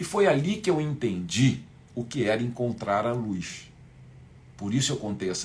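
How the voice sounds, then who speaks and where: With vocal fry and very wide pitch swings, a man speaks at a fairly slow pace in a medium pitch. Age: 60s. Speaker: spiritual teacher. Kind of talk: live online class. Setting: livestream.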